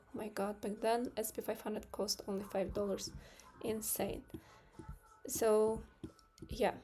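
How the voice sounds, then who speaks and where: A woman with a non-native accent speaks fairly slowly in a flat monotone. Her pitch is fairly high, and her tone is dark and mellow. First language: not English. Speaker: trading streamer. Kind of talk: live stream market analysis. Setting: live stream with screen share. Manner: hesitant, many fillers.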